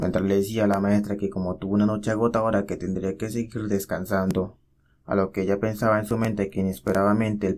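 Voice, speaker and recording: Fairly quick speech from a man with fairly low pitch. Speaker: manhwa recap narrator. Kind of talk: casual story recap narration. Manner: fast; animated.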